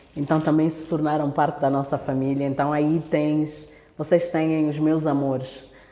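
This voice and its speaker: This woman's very deep, low voice stays monotone and flat at a moderate pace. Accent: Angolan. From Angola. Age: 30s. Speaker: speaker at women's church event. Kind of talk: talk to church women's online meeting.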